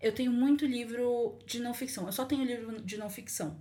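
A woman talks at a moderate pace, her fairly high voice somewhat breathy. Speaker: podcast guest, student. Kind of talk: casual chat.

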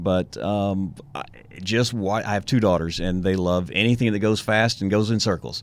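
Fairly even intonation at a moderate pace, with a Texan accent. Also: man, fairly low pitch for a man. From East Texas, Tyler. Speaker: rodeo volunteer committee chair. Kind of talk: casual interview. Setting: studio.

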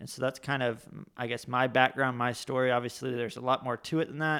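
A man with an American accent speaks fairly quickly at a medium pitch in a very clean recording with a silent background. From Florida. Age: 30s. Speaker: minister. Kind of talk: casual chat.

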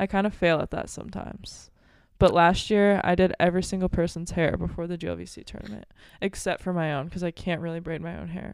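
A woman with an American accent talking at a very fast pace, on a very clean recording with a silent background. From Belleville, Illinois, near St. Louis. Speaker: college volleyball player. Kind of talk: casual chat.

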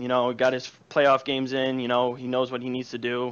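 The speaker has a Chicago accent and talks at a fairly quick pace. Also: man. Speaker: caller. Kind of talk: casual chat. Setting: online call-in. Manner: loud.

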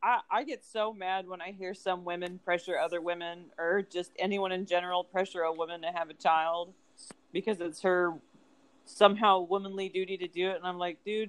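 This woman talks at a fairly quick pace. Her intonation is monotone and flat. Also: medium pitch for a woman. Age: 30s. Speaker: podcast co-host. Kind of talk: casual chat.

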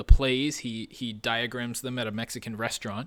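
In a plain, everyday voice with a Canadian accent, a man speaks at medium pitch, a fairly quick pace and fairly even intonation on a very clean recording with a silent background. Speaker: sports podcast co-host. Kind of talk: casual chat.

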